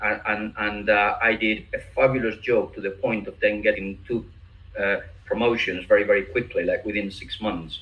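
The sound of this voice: A man speaks at a moderate pace with ordinary pitch variation. His tone is bright and sharp.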